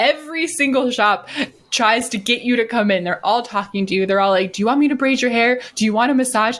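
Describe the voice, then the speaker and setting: Fairly high in pitch, a woman speaks in an animated tone at a moderate pace with ordinary pitch variation. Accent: American. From US Midwest, Wisconsin. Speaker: podcast co-host. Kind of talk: casual chat.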